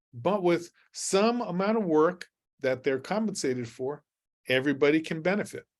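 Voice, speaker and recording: With lively intonation, a man speaks in a high voice. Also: moderate pace. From New Mexico, rural. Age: 60s. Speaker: university researcher and farmers market specialist. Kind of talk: webinar Q&A. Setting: online webinar. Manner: halting, with frequent fillers.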